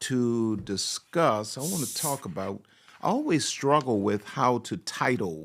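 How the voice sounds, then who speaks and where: Pitch swinging very widely, a man talks at a very slow pace. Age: 60s. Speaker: pastor and relationship speaker. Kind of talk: live-streamed talk to online audience. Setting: livestream. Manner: animated.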